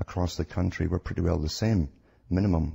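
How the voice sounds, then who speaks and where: A man with a Scottish accent speaks at a moderate pace in a very deep, low voice that is somewhat breathy, with fairly even intonation and a dry, close sound with no echo. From Scotland. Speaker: radio guest, conspiracy researcher. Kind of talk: radio interview.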